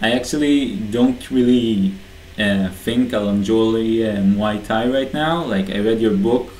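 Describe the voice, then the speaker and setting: A man talks fairly slowly at medium pitch with ordinary pitch variation. The room echo is audible and background noise is noticeable. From Israel. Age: young. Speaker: aspiring online entrepreneur. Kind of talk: personal video message. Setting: bedroom, self-recorded video. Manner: casual, hesitant with fillers.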